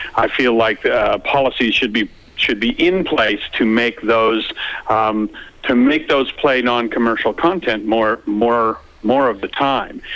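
Amid noticeable background noise, a man with a Canadian accent speaks at a fairly slow pace and medium pitch, with ordinary pitch variation and very even loudness. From Canada. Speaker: light artist, artistic director. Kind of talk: phone interview. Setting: phone call. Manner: repetitive, stammering restarts.

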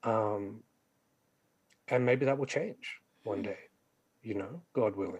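Somewhat breathy and medium in pitch, a man speaks at a very slow pace with ordinary pitch variation and long, frequent pauses. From Australia, western Sydney. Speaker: poet and novelist. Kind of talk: interview.

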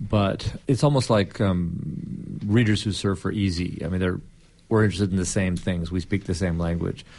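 A very deep, low male voice, moderately paced and with typical pitch movement. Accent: Californian. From Southern California and Hawaii. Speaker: journalist and author. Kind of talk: interview.

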